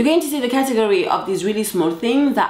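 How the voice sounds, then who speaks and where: A woman with a French accent over noticeable background noise. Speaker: confidence coach. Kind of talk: motivational talk to camera. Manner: casual, direct.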